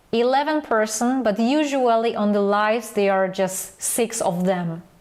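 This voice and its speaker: A woman talks with a non-native accent. Her pitch is fairly high. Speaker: photography mentor. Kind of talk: online class sales pitch. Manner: halting.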